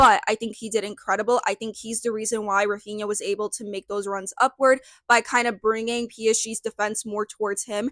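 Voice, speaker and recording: Here a woman with an American accent uses a normal speaking voice at a fairly quick pace and a fairly high pitch, with fairly even intonation and a dry, close sound with no echo. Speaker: football content creator. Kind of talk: solo video commentary, match preview. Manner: casual, filler-heavy.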